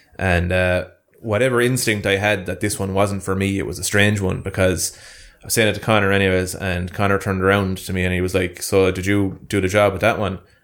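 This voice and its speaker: Fairly quick, monotone, flat speech plays in a very clean recording with a silent background. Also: man, fairly low pitch for a man. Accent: Munster. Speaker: YouTuber. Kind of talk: casual banter chat. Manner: joking, bantering.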